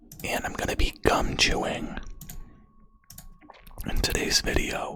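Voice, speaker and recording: Over noticeable background noise, a whisper unfolds at a fairly slow pace. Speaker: ASMR content creator. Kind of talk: casual ASMR talk to camera while gaming. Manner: soft-spoken, whispered.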